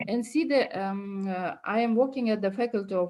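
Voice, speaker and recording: A woman with a Kyrgyz accent speaks fairly slowly at a medium pitch. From Kyrgyzstan. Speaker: university lecturer. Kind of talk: academic talk. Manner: halting, many fillers.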